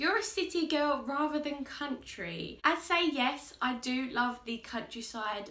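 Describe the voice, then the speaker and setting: A woman talks at a fairly slow pace with lively intonation, amid noticeable background noise and audible room echo. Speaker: makeup artist and YouTuber. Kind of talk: casual chat. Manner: loud; bubbly, lively.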